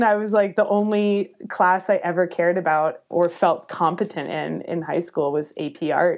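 This woman has a plain, everyday voice at a medium pitch. She speaks at a moderate pace with ordinary pitch variation. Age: 30s. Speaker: professional cyclist and graphic designer. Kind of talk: casual interview.

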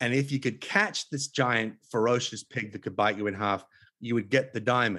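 At a moderate pace and medium pitch, a man with an Australian accent speaks with ordinary pitch variation. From Australia (Tasmania). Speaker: author and conservationist. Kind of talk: interview conversation. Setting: remote call.

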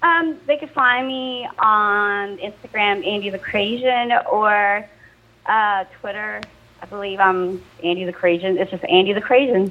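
A woman with an American accent speaks at a fairly slow pace in a plain, everyday voice. Her loudness swings a lot. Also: medium pitch for a woman, ordinary pitch variation. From Southern California, later South Carolina. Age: 30s. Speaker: MMA fighter. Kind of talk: interview. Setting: phone call.

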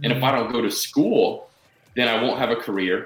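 A man of medium pitch talks in an unremarkable speaking voice. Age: 30s. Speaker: self-help author and entrepreneur. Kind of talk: interview.

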